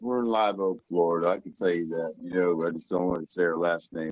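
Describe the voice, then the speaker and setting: In a Southern US accent, a man speaks at a moderate pace with ordinary pitch variation. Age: 50s. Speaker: caller. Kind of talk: live call-in story. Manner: halting.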